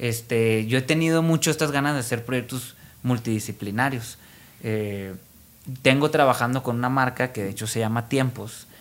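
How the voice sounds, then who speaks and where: Here is an ordinary speaking voice from a man at medium pitch with ordinary pitch variation. The recording is very clean, the background silent. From Mexico, Culiacán, Sinaloa. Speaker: fashion designer. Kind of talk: interview.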